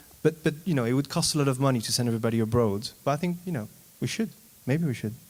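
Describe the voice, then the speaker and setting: A man's medium-pitched voice in a French accent, very fast pace and lively intonation. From France. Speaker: panelist, politician. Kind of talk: panel discussion.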